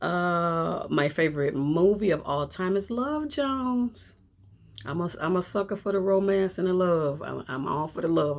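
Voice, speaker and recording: Someone with an American accent talks at a moderate pace in an animated tone with lively intonation. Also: woman. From Chicago, South Side. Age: 50s. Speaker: vlogger. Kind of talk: casual chat. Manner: loud.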